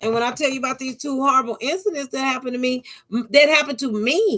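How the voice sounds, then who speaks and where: A woman projects a raised voice at a high pitch. She talks at a fairly quick pace. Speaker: YouTuber. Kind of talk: monologue vlog. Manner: halting, repetitive stammers.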